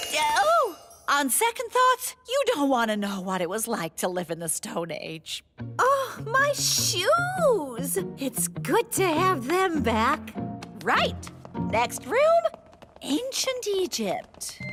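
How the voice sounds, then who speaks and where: Faint music plays behind a cartoonish, female-sounding character voice pitched high and delivered at a very slow pace. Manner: precise, teacherly.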